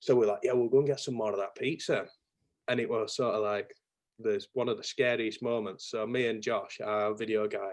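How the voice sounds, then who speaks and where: A man talks at a fairly quick pace. His Yorkshire accent is strong. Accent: thick Yorkshire. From Yorkshire, northern England. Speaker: marketing business owner, chopper enthusiast. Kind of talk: casual chat. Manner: animated.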